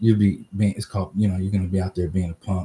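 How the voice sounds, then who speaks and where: Very deep and low in pitch, a man with an American accent speaks in a somewhat breathy voice with a dark, mellow tone. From US West Coast, Oakland, California. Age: 50s. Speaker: vlogger. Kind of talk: casual solo livestream talk. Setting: outdoors in driveway. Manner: halting, many fillers. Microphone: laptop webcam.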